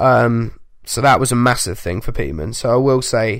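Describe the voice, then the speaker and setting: Speaking in a playful tone, a man at a medium pitch lets vocal fry creep into his voice. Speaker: podcast co-host. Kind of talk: casual sports chat. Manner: joking, playful.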